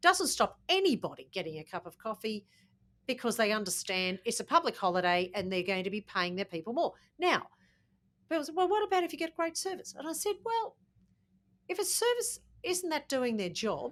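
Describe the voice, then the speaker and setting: With an Australian accent, a woman talks fairly quickly in a high pitch. Her voice moves in very wide pitch swings. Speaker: podcast co-host. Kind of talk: casual chat.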